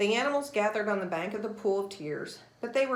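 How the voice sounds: Read in a natural reading voice, the clip has ordinary pitch variation.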